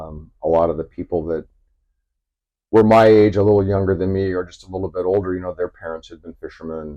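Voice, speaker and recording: This man has a very deep, low pitch and an American accent. His intonation is monotone and flat, and his pace is fairly quick. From Southern California. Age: 60s. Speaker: commercial fisherman. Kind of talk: interview. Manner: halting.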